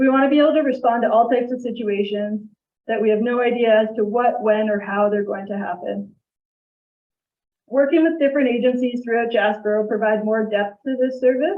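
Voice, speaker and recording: At a fairly quick pace, a woman talks in a shaky, fairly high-pitched voice. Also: ordinary pitch variation. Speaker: crisis team presenter. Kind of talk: presentation to council.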